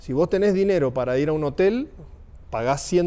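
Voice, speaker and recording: A man speaks at a fairly quick pace with an Argentine accent. His tone is dark and mellow, with ordinary pitch variation. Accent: Argentine Spanish (voseo). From Argentina. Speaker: motorcycle traveler. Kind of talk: casual chat.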